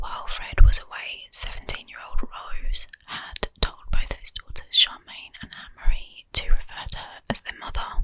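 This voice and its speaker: A woman whispers at a moderate pace with hardly any pauses. Her loudness swings a lot, and there is noticeable background noise. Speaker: ASMR true crime YouTuber. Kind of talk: true crime ASMR narration. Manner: whispered, soft-spoken.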